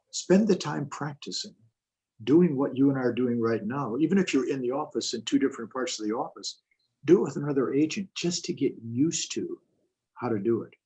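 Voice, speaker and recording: At a moderate pace, a man talks in a somewhat breathy voice with lively intonation. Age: 70s. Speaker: real estate coach and seminar speaker. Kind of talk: interview on a live video call.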